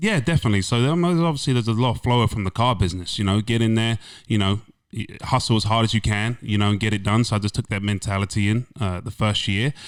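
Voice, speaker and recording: Very fast and animated, a man with an English accent speaks with ordinary pitch variation on a very clean recording with a silent background. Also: medium pitch for a man. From England. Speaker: insurance agent, former car salesman. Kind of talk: podcast interview.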